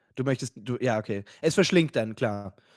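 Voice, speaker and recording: Captured in a very clean, dry, close recording with a silent background and no echo, a man talks at a moderate pace in a plain, everyday voice. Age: 30s. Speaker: podcast co-host. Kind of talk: casual chat.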